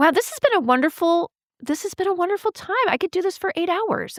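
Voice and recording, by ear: In a squeaky, put-on character voice, the speaker rattles along at a very fast pace with an enthusiastic tone, in a dry, close sound with no echo. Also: woman, extremely high pitch for a woman.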